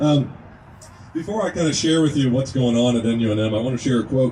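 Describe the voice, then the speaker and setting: A man speaks at a very fast pace with a slight Kentucky accent and ordinary pitch variation. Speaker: naturopathic medicine student, speaker at a rally. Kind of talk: speech to a gathering. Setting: outdoors at a rest stop.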